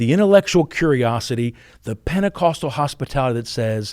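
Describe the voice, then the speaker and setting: In a very clean recording with a silent background, a man at medium pitch sounds animated, his voice swinging very widely in pitch. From Pennsylvania, West Virginia family. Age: 50s. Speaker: university president. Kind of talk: podcast interview. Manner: repeats words.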